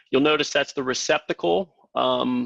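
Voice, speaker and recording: Against a quiet background, a man with an Ohio accent talks at a moderate pace in a medium pitch. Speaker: tech product presenter. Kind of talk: webinar presentation. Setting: live webinar. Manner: halting, many fillers.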